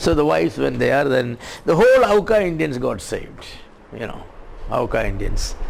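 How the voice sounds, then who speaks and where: A man speaks at a moderate pace with long, frequent pauses, heard through noticeable background noise and audible room echo. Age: 70s. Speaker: preacher. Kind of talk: sermon. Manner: halting.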